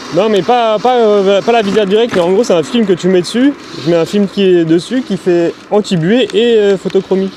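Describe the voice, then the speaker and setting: A man speaks in a high voice with ordinary pitch variation against noticeable background noise. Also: moderate pace, very even loudness. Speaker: electric scooter YouTuber. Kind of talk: casual chat while riding. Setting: outdoors on a scooter, via helmet intercom. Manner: loud; hesitant, many fillers.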